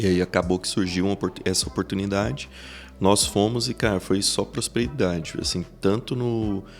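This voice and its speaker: A man talks at a moderate pace with a fairly low pitch and ordinary pitch variation. His is an ordinary speaking voice. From Brazil, Goiás interior near Iporá. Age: 30s. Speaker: business executive. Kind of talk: podcast interview.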